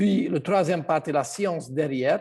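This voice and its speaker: The background stays quiet. A man's pitch varies in an ordinary way as he talks. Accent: Hungarian. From Hungary. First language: Hungarian (speaking French). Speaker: health product seller. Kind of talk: online presentation. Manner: halting.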